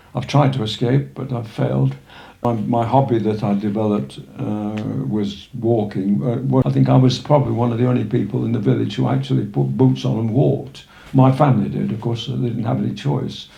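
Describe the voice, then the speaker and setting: The pitch swings very widely at a fairly quick pace. Noticeable background noise and audible room echo are present. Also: man, fairly low pitch for a man. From northern England, Sheffield. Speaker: retired local walker, village resident. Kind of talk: life story interview. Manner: halting, many fillers.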